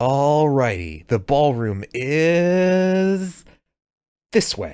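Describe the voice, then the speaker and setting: This man's voice is a put-on character voice, fairly high in pitch. He speaks at a very slow pace. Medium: read story. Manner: casual, laid-back, warm.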